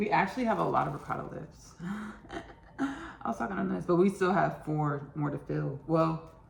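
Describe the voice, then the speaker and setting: Someone speaks at a moderate pace with an American accent, with audible room echo and noticeable background noise. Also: woman. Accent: Texas country, varies. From Texas, Austin. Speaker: home cook, cooking show host. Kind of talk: casual cooking tutorial. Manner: chatty, repetitive.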